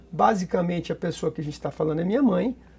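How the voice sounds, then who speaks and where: A man's dark, mellow tone with lively intonation. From Brazil, São Paulo state. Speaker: surgeon. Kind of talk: interview. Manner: halting.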